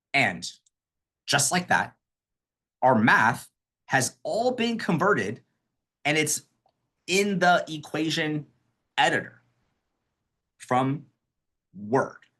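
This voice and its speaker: Against a quiet background, a man with a bright, sharp tone speaks very slowly, with very wide pitch swings and long, frequent pauses. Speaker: accessibility trainer. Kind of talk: webinar tutorial.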